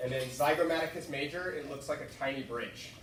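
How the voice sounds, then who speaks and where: A man talks at a fairly quick pace with ordinary pitch variation. Noticeable background noise and audible room echo are present. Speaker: student tutor. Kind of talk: tutoring session. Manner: fast.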